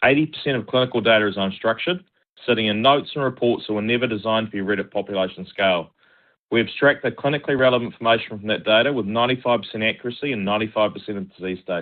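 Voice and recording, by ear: At a fast pace, a man talks in a fairly low voice with ordinary pitch variation.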